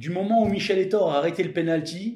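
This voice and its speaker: Man speaking at a fairly slow pace, with audible room echo. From Lorraine, northeastern France (Florange, Moselle). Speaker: former professional footballer. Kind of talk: interview. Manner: halting, with repeated words.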